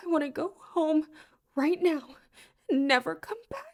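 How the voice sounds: A woman's put-on character voice, extremely high and shaky, at a fairly slow pace with lively intonation.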